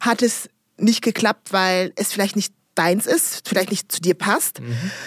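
In a dry, close recording with no echo, a woman with a normal speaking voice talks at a moderate pace with ordinary pitch variation. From DR Congo, raised in rural Rhineland near Bonn from childhood. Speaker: entrepreneur and diversity consultant. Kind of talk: interview.

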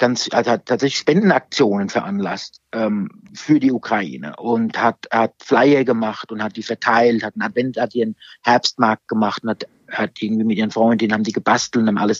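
A man talks with a medium pitch, keeping a moderate pace. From Germany, Aschaffenburg (Lower Franconia). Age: 50s. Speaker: social welfare manager. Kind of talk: casual interview. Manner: halting, many fillers and repetitions.

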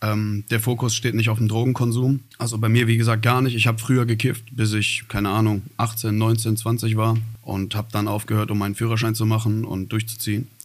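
Barely pausing, a man talks at a fairly quick pace and a medium pitch in a flat monotone. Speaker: rapper. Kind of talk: interview.

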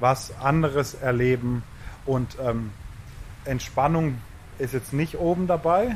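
A man's somewhat breathy, fairly high-pitched voice at a very slow pace, with long, frequent pauses and ordinary pitch variation. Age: 30s. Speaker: festival communications manager. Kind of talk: casual chat. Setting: outdoors.

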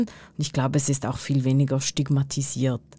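Her tone is dark and mellow. Nothing else is heard, since the recording is very clean and the background silent. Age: 40s. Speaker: podcast co-host. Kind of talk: casual chat. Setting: studio.

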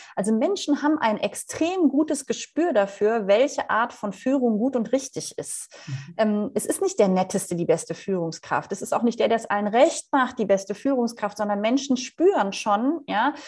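Speaking at a moderate pace with hardly any pauses, a woman uses a fairly high pitch with very wide swings, heard in a very clean recording with a silent background. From Rhineland, Germany (Leverkusen). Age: 40s. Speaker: leadership coach and keynote speaker. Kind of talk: interview.

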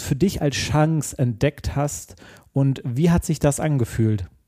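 Very slow delivery from a man with a fairly high pitch and a dark, mellow tone, on a very clean recording with a silent background. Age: 30s. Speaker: podcast host. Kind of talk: interview.

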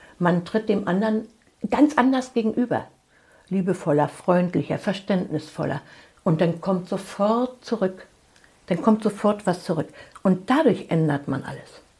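A woman with a dark, mellow tone and medium pitch speaks at a fairly slow pace, somewhat breathy, with lively intonation and long, frequent pauses. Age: 60s. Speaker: family constellation therapist. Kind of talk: interview.

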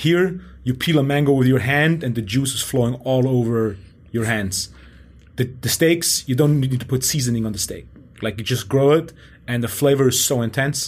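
A man talks at a moderate pace and medium pitch. His voice is somewhat breathy, with ordinary pitch variation. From Germany. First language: German. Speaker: podcast host and strength coach. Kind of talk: interview conversation.

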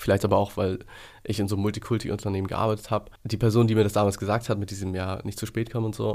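A very clean recording with a silent background and monotone, flat intonation. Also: man. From Hamburg, northern Germany. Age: 30s. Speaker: entrepreneur building a care service. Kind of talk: casual interview conversation.

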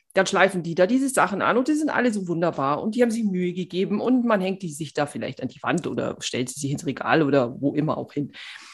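A woman speaks very fast with hardly any pauses, her pitch swinging very widely and her loudness shifting greatly. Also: medium pitch for a woman. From Bavaria. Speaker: podcast co-host. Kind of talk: casual chat.

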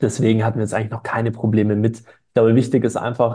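The voice carries vocal fry and a dark, mellow tone. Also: man. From Stuttgart, Swabia, Germany. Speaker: online shop founder. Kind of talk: casual interview. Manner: hesitant, many fillers.

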